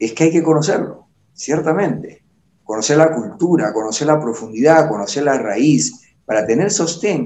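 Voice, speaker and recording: A man's fairly high voice with vocal fry and very wide pitch swings, at a moderate pace. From Peru. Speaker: TV interview host. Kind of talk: interview.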